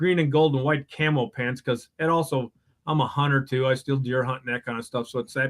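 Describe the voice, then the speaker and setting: Talking at a fairly quick pace with a Wisconsin accent, a man keeps a medium pitch and fairly even intonation. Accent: Upper Midwest (Wisconsin). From Wisconsin, Madison area. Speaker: superfan guest. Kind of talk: casual chat.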